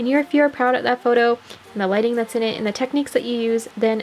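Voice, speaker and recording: In a Canadian accent, the voice shows ordinary pitch variation against noticeable background noise. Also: woman. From Canada. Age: 20s. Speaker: doll collector YouTuber. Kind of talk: tutorial; recorded disclaimer. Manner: casual, chatty.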